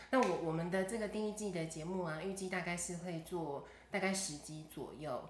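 A woman talks at a moderate pace with a fairly low pitch and ordinary pitch variation. There is audible room echo and noticeable background noise. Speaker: podcast host. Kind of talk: casual chat.

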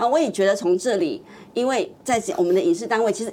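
A woman's fairly high pitch comes through noticeable background noise. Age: old. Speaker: TV producer. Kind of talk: casual chat. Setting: studio.

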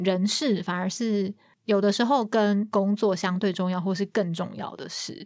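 An ordinary speaking voice from a woman at a fairly slow pace, with fairly even intonation, on a very clean recording with a silent background. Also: medium pitch for a woman. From Taiwan. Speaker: marketing project manager. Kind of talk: interview.

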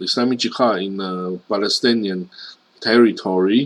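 The speaker is a man. He talks with a Chinese accent. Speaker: news commentator. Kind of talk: news commentary monologue. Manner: many filler particles, halting.

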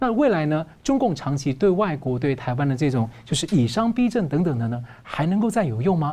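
A man talks at a fairly quick pace with hardly any pauses. His tone is dark and mellow, somewhat breathy, and his pitch swings very widely. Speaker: news show host. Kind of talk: news talk show interview.

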